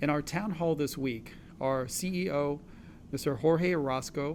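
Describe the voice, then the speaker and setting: A man speaks in a fairly high pitch with fairly even intonation. There is audible room echo. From Los Angeles area, California (immigrated from China at 6). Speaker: physician, co-host. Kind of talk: town hall panel moderation.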